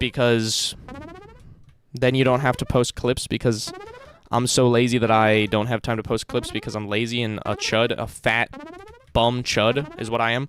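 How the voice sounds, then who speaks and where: A man with an American accent speaks over music in the background. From United States. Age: 20s. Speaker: live streamer. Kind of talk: casual chat. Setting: live stream. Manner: fast.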